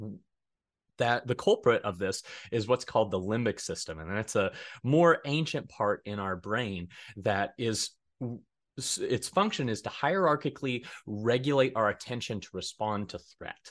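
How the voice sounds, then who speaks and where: Over a quiet background, a man with an American accent talks at a moderate pace and medium pitch, his intonation lively and his loudness swinging widely. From Colorado, US. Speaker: graduate student counselor. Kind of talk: interview. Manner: halting.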